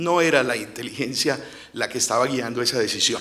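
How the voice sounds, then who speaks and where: A man talks at a moderate pace with ordinary pitch variation. Audible room echo surrounds his voice. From Colombia, Cartagena. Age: 50s. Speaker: lawyer and former investigator, storyteller. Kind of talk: storytelling on stage. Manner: halting, with filler hesitations.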